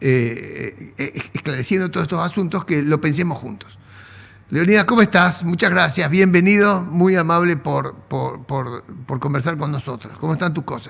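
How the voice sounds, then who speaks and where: A man's fairly high voice with vocal fry, ordinary pitch variation and a moderate pace. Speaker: economics interviewer. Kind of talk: interview.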